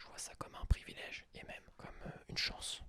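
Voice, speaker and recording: A man is whispering. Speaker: ASMR podcaster. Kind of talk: ASMR podcast, whispered personal reflection. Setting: studio, close microphone. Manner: whispered, soft-spoken.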